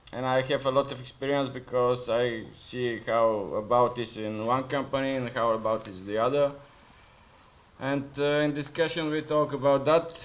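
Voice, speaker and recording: Speaking with a Bulgarian accent, a man keeps a medium pitch, fairly even intonation and a moderate pace. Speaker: food delivery rider. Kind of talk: panel discussion. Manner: halting.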